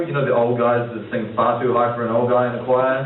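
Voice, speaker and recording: This man talks at a fairly quick pace with a New Zealand accent and a medium pitch, over noticeable background noise and audible room echo. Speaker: comedian. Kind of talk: stand-up. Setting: stage with audience. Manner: halting; fast.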